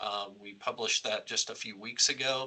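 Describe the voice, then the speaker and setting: Noticeable background noise sits behind a speaker with an American accent talking at a moderate pace. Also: man. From United States. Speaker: company CEO hosting webcast. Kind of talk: webcast interview. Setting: online webcast.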